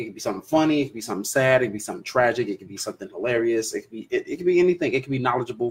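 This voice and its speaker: This man talks at a very fast pace with a medium pitch. His voice is somewhat breathy. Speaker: livestream podcast host. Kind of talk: casual livestream chat. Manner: casual, rambling with fillers.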